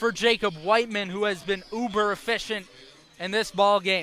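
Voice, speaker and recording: A man with an American accent speaks in a raised, projected voice at a high pitch. His pace is fairly slow. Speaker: baseball play-by-play announcer. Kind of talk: sports play-by-play broadcast. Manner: steady, measured, descriptive.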